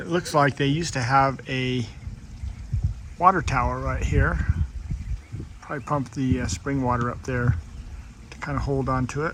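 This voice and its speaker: A man speaks with ordinary pitch variation and long, frequent pauses. Noticeable background noise runs under his voice. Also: medium pitch for a man, moderate pace. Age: 60s. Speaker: RV travel vlogger. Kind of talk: casual vlog narration while walking. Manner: relaxed, many filler words.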